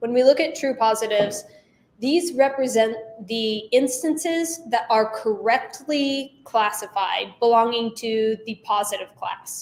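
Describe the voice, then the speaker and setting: At a fairly slow pace, a woman with a normal speaking voice talks at a fairly high pitch with ordinary pitch variation. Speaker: instructor. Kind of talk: lecture. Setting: class.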